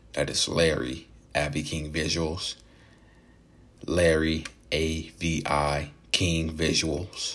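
A man with a very deep, low pitch talks at a very slow pace in monotone, flat intonation, leaving long, frequent pauses. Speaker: podcast host. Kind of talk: solo podcast monologue about mental health. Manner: halting, many filler words.

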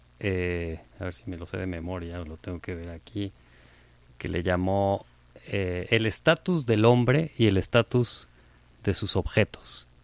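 A man's very deep, low voice on a very clean recording against a silent background. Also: ordinary pitch variation, fairly slow pace, big swings in loudness. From Mexico. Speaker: architect and professor. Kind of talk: conversational interview.

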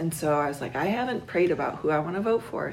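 The speaker has a normal speaking voice with an American accent. Their intonation is lively. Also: woman. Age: 40s. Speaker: interviewee, Trump voter. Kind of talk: interview answers.

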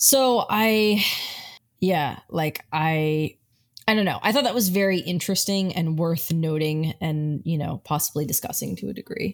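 A woman's fairly low voice, a plain, everyday voice, with lively intonation in a very clean recording with a silent background. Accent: American. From Italian American family. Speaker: film podcast co-host. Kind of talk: casual chat.

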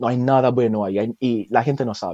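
With a Jamaican accent, the speaker has a dark, mellow tone, fairly even intonation and a moderate pace, in a dry, close sound with no echo. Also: man. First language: Jamaican Patois (speaking Spanish). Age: 20s. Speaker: language teacher. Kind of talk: casual interview. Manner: halting, many repetitions.

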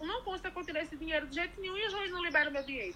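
Her voice is raised and projected, extremely high in pitch for a woman, bright and sharp in tone, with ordinary pitch variation. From Bahia, Brazil (Irecê region). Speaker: recycler and housing activist. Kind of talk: interview.

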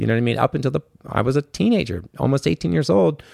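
A man with an American accent speaking at a very fast pace, medium-pitched, with vocal fry. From Washington, D.C. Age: 40s. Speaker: musician and guitar instructor. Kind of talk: casual chat. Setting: studio.

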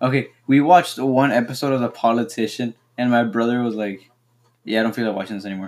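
Very fast speech with ordinary pitch variation, in a Spanish accent. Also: man, medium pitch for a man. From Mexico. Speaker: podcast co-host. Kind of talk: casual chat.

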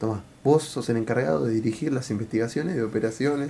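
With a Rioplatense accent, a man speaks at a fairly quick pace. His tone is dark and mellow and somewhat breathy. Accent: Argentine Rioplatense Spanish. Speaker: podcast co-host. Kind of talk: casual chat.

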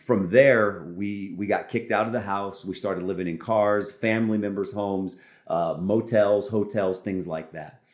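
A man with an American accent and a plain, everyday voice speaks at a fairly low pitch with fairly even intonation and hardly any pauses, in a very clean recording with a silent background. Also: moderate pace. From California. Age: 30s. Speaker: pastor. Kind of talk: testimony.

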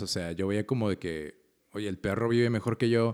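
A man talks at a fairly slow pace in an ordinary speaking voice, fairly low in pitch. The recording is very clean, with a silent background. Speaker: podcast co-host. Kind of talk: casual chat.

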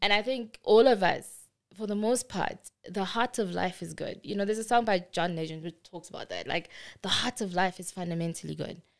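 In an ordinary speaking voice, a woman talks at a fairly quick pace at medium pitch with ordinary pitch variation, on a very clean recording with a silent background. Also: big swings in loudness. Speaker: technology executive. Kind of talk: interview.

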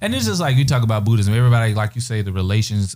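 The man talks at a very fast pace. His tone is dark and mellow. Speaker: podcast host. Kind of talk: casual chat.

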